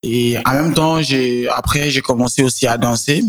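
A man's voice with ordinary pitch variation. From Niger, Niamey. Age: 20s. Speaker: singer and songwriter. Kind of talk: interview.

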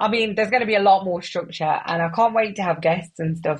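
The tone is animated and somewhat breathy. Pitch variation is ordinary. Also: woman. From West Midlands, England (Wolverhampton). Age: 30s. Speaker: podcast host. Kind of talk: casual solo monologue.

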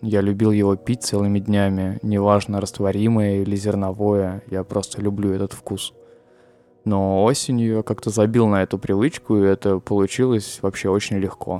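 Music plays in the background as a man speaks at a fairly low pitch. His pace is moderate and his intonation monotone and flat. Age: 20s. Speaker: podcaster. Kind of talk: personal monologue.

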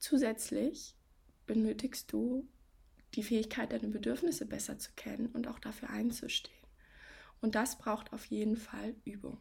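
The voice has a warm tone with vocal fry and ordinary pitch variation. It moves at a moderate pace with long, frequent pauses. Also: woman, fairly high pitch for a woman. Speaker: coach and podcast host. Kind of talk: advice podcast monologue. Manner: warm, direct address to listener.

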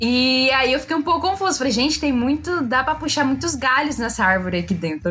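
Her pitch high, a woman talks at a fairly quick pace with lively intonation. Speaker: podcast co-host. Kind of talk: casual chat. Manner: animated.

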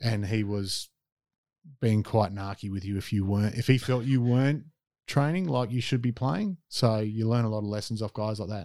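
In an Australian accent, a man speaks with a dark, mellow tone and fairly even intonation, in a very clean recording with a silent background and a dry, close sound with no echo. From South Australia. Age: 40s. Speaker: former basketball player and youth worker. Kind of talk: interview. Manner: hesitant, many fillers.

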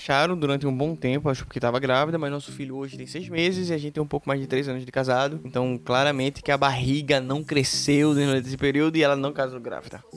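A man's fairly high voice at a very fast pace, monotone and flat, with hardly any pauses. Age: 20s. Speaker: podcast co-host, software developer. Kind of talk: casual chat.

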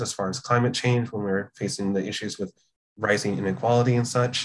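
A man with a General American accent talks at a fairly quick pace. His medium-pitched voice is somewhat breathy, with ordinary pitch variation. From California, US. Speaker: comics journalist. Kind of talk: casual interview.

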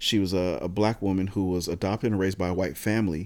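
On a very clean recording with a silent background, a man with a fairly low pitch, a dark, mellow tone and an American accent speaks at a very fast pace. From Southern California (San Diego). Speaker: podcast host. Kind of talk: casual chat.

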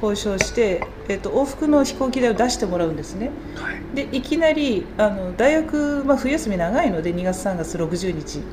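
A woman with a fairly high pitch talks at a moderate pace with hardly any pauses and very wide pitch swings. Noticeable background noise and audible room echo surround her voice. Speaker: culture program manager. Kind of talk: interview. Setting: showroom. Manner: hesitant fillers.

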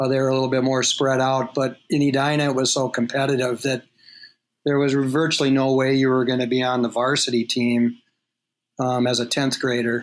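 At a fairly quick pace, a man speaks at medium pitch with monotone, flat intonation and very even loudness. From Minnesota, Twin Cities suburb. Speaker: college hockey coach. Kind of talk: casual interview.

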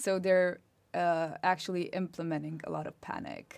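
Very clean and recorded against a silent background, the voice has a Romanian accent, fairly even intonation and a moderate pace. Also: woman. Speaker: master's student. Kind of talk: casual interview.

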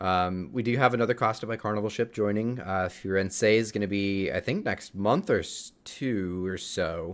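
A plain, everyday voice from a man, fairly low in pitch, at a moderate pace with ordinary pitch variation, in a very clean recording against a silent background. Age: 20s. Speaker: cruise podcast host. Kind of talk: casual chat.

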